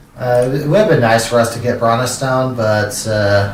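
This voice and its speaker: Amid noticeable background noise and audible room echo, a man at medium pitch talks at a fairly slow pace with fairly even intonation. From California. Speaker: streamer. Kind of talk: gameplay live stream commentary. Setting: live stream. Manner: halting, many fillers and repeats.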